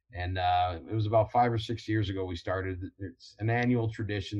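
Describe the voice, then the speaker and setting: Speaking with an American accent, a man has a fairly low, somewhat breathy voice. His intonation stays fairly even over a quiet background. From Ohio, Toledo. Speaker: college football coach and Marine veteran. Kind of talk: casual interview. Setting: video call.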